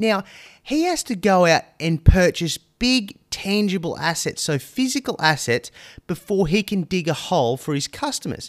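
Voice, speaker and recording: On a very clean recording with a silent background and a dry, close sound with no echo, a high-pitched man speaks with very wide pitch swings. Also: moderate pace. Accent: Australian. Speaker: marketing podcast host. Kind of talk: solo podcast monologue.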